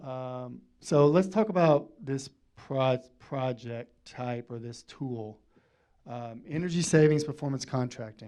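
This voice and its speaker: A man with an American accent speaks at a very slow pace in a dark, mellow tone, with ordinary pitch variation and big swings in loudness. The background is quiet. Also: medium pitch for a man. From Arkansas. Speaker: energy services company representative. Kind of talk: presentation to city council.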